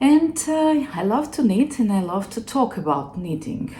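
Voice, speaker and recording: A woman talks with a non-native accent. Noticeable background noise is present. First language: not English. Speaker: knitting podcaster. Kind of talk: casual chat. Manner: halting.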